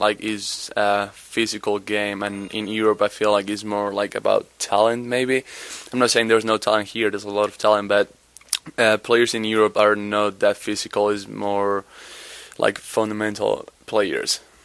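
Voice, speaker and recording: Monotone, flat intonation marks this man's speech, delivered at a moderate pace and a fairly low pitch. He has a Spanish accent, and there is noticeable background noise. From Spain, Madrid area. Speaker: college basketball player. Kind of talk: interview. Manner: halting.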